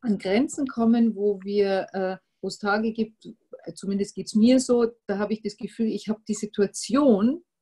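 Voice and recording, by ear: A woman's dark, mellow tone carries a slightly husky edge and ordinary pitch variation. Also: medium pitch for a woman, moderate pace.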